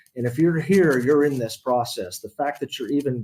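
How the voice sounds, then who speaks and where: Speaking at a fairly quick pace with an American accent, a man has a dark, mellow tone and ordinary pitch variation. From US South, Beaufort, South Carolina. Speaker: retired military officer, marketing director. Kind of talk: mentoring talk.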